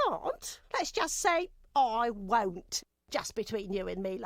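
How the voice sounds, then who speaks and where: A female-sounding voice puts on a character voice, pitched fairly high and moving at a fairly slow pace. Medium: video game. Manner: chatty, chuckling, folksy.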